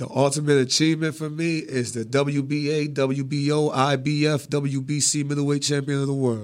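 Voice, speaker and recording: With an American accent, a man talks at a moderate pace and a fairly high pitch, monotone and flat, with hardly any pauses. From Atlantic City, New Jersey. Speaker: professional boxer. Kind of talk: casual interview. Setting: radio studio.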